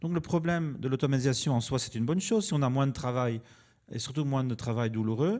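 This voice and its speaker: A man with an ordinary speaking voice and ordinary pitch movement goes fairly quickly against a quiet background. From Belgium. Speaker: commons theorist, foundation founder. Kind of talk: panel debate.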